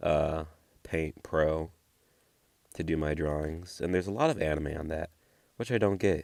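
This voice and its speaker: Over a silent background in a very clean recording, a man with a very deep, low pitch keeps a fairly even intonation at a moderate pace. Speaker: art vlogger. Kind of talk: casual voiceover commentary. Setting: home voiceover recording. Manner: monotone.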